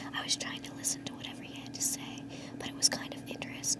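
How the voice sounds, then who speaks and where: A woman whispering at a very fast pace over noticeable background noise. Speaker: ASMR reader. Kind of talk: ASMR book reading. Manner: whispered.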